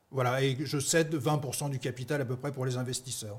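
Fairly high, somewhat breathy male voice, moderate in speed, with ordinary pitch movement. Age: 50s. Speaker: startup founder. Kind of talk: pitch interview.

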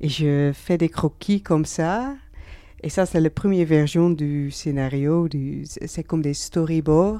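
The speaker talks with a Dutch accent at a very slow pace. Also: woman, very deep, low pitch for a woman, ordinary pitch variation. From Netherlands. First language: Dutch (speaking French). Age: 30s. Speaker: comic book author and artist. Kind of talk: interview. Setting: bookshop in Geneva. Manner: halting, frequent hesitations and repeated words.

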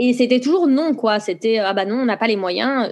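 A woman speaks at a fairly quick pace in a normal speaking voice with fairly high pitch and ordinary pitch variation. The background is quiet. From France. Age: 30s. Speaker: knitting brand founder. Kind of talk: interview.

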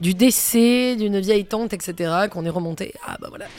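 A woman at a medium pitch and a fairly slow pace, with ordinary pitch variation and music in the background. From Provence, France. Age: 40s. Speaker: singer and performer. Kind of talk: casual interview. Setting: bar. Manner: halting, repeats words.

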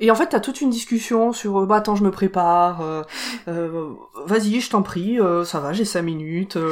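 A woman speaks in a normal speaking voice at a medium pitch. Her intonation is lively and her pace moderate. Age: 30s. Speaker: podcast co-presenter, film fan. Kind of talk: casual chat.

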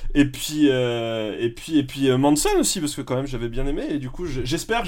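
A man uses an ordinary speaking voice at a fairly high pitch. His pitch varies normally, and his pace is moderate. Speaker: podcast panelist. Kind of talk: casual chat.

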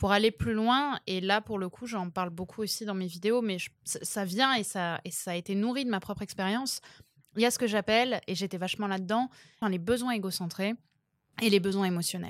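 Here is a woman with an ordinary speaking voice, medium pitch and ordinary pitch variation, at a moderate pace. The sound is dry and close, with no echo. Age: 20s. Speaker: dating coach. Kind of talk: casual chat.

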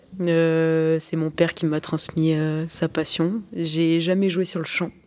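Her pitch fairly low, the woman's tone is dark and mellow. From France, Limoges. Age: 20s. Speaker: goalkeeper and sports student. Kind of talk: interview. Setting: locker room after a match.

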